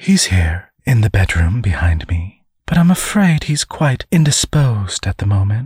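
With a put-on character voice, a man talks at a fairly slow pace, his slightly mellow tone carrying a husky, rough edge and big pitch swings. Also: fairly low pitch for a man.

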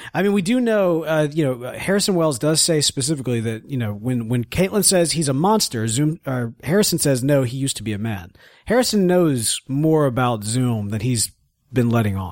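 Here a man with an American accent speaks at a fairly quick pace in a fairly high voice whose pitch swings very widely, on a very clean recording with a silent background. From US South. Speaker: podcast co-host. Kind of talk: casual chat. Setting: studio.

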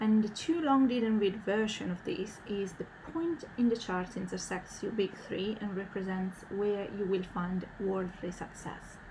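A woman at medium pitch speaks at a fairly slow pace with hardly any pauses and ordinary pitch variation, with audible room echo. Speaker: podcast host. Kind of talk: solo podcast monologue.

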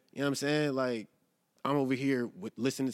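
A man's voice, very clean recording, silent background. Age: 20s. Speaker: podcast co-host. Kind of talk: casual chat. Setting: live studio recording.

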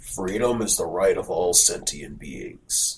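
A put-on character voice from a man, delivered at a fairly slow pace. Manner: noble, authoritative.

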